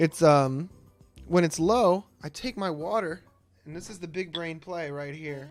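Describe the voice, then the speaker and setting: A high-pitched male voice. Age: 20s. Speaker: gaming streamer. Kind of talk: gameplay commentary. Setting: home streaming setup with green screen. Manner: loud; animated.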